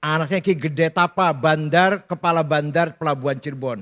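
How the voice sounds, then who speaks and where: This man has an ordinary speaking voice with a fairly high pitch and ordinary pitch variation. He talks at a fairly slow pace. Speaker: Islamic scholar giving a lecture. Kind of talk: lecture / religious talk to an audience. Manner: casual, humorous, storytelling.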